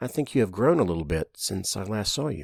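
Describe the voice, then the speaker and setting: Using a put-on character voice, a man sounds raspy and fairly low in pitch, with very wide pitch swings and a fairly quick pace. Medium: read story. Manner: measured, serious.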